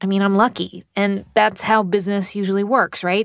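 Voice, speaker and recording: At a moderate pace, an unremarkable speaking voice comes through with a dry, close sound and no echo. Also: woman. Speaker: podcast host. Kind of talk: interview.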